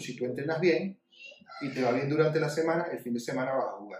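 This man has a Venezuelan accent and a fairly high pitch. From Venezuela (Maracaibo, then Caracas). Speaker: sports podcast co-host. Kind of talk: casual chat.

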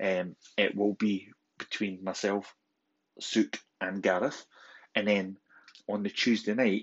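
A man in a Scottish accent, fairly low-pitched and monotone with flat intonation, at a very slow pace with long, frequent pauses. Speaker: podcast host. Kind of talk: podcast announcement.

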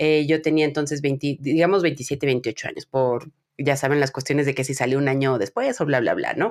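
Her voice is very deep and low for a woman. She speaks at a moderate pace with ordinary pitch variation. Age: 30s. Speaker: podcast host. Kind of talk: casual chat.

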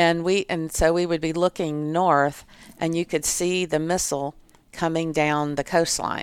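In a very clean recording with a silent background, a woman with an American accent and a fairly low voice talks at a fairly slow pace in a flat monotone. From US South, Florida. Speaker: mayor. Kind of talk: casual interview.

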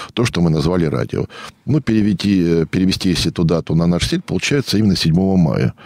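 A man with a very deep, low pitch talks at a fairly quick pace with lively intonation and very even loudness, the sound dry and close with no echo. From Russia, rural state farm settlement. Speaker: historian and local historian. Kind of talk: radio interview. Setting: radio studio.

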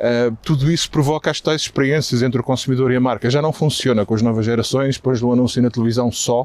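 Speaking at a very fast pace, a man holds a medium pitch with very even loudness. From Portugal. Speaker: marketing executive. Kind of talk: interview. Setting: outdoors, walking in a park.

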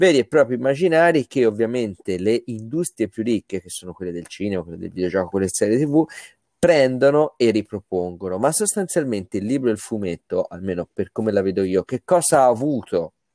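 A man speaks at a fairly quick pace in a dark, mellow tone, with very wide pitch swings and big swings in loudness. The recording is very clean with a silent background and a dry, close sound with no echo. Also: medium pitch for a man. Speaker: comics festival director. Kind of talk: casual interview.

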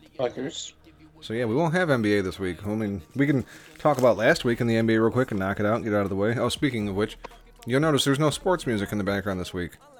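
Noticeable background noise surrounds a man speaking at a very fast pace. His medium pitch carries lively intonation. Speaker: sports betting podcast host. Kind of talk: casual banter, sports picks show. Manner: profane, talkative.

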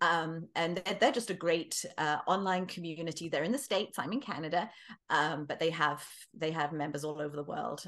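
With a quiet background, a woman speaks in an English accent at a fairly low pitch with ordinary pitch variation. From England. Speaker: author. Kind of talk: casual interview.

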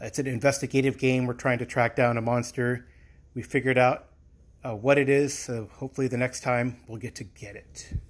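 A man at a medium pitch, fairly quick, with monotone, flat intonation and big swings in loudness. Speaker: podcast listener leaving voicemail. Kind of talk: voicemail message. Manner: sniffling.

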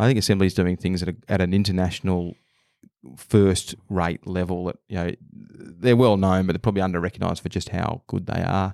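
In an Australian accent, a man with a very deep, low pitch speaks with fairly even intonation, on a very clean recording with a silent background and a dry, close sound with no echo. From Australia, Melbourne. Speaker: venture capitalist. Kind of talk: interview.

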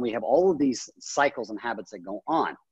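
A man with an American accent and an ordinary speaking voice talks with lively intonation, and the sound is dry and close with no echo. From US, childhood split between Japan and the US. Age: 40s. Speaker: life coach and training academy founder. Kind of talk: interview conversation.

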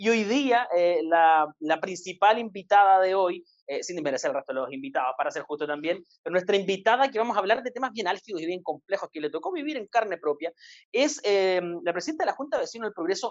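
Lively intonation marks this man's speech. He talks at a very fast pace with a high pitch. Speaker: podcast host. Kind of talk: interview.

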